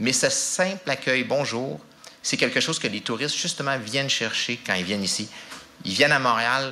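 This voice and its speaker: Over noticeable background noise, a medium-pitched man talks fairly quickly with lively intonation. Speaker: language office representative. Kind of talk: public talk. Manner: halting.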